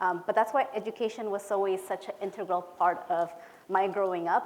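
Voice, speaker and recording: A woman talks at a moderate pace and a medium pitch. Her intonation stays fairly even. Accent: Spanish. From Peru, moved to California at about ten. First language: Spanish. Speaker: education policy director. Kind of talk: conference presentation. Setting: conference hall with audience. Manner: casual, with many filler words.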